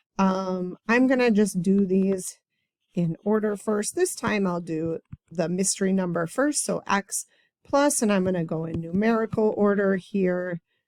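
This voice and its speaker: A woman with an ordinary speaking voice talks at a fairly slow pace in a medium pitch with ordinary pitch variation, the sound dry and close with no echo. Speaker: math teacher. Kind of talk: tutorial. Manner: casual.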